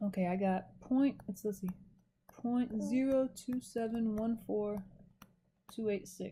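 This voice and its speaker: A woman's fairly high, somewhat breathy voice with a dark, mellow tone, fairly even intonation, a very slow pace and long, frequent pauses. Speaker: math instructor. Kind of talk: recorded lecture. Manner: casual, self-correcting.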